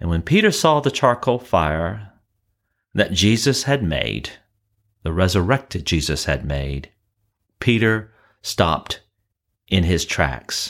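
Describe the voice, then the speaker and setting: A man with a very deep, low pitch and vocal fry talks at a very slow pace, with very wide pitch swings and long, frequent pauses. The recording is very clean, with a silent background. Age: 60s. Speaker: pastor. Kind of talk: sermon; casual chat.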